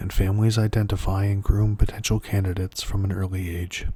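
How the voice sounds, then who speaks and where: Its intonation stays monotone and flat. There is a somewhat breathy quality to the voice. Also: man. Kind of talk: ASMR lore reading. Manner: soft-spoken.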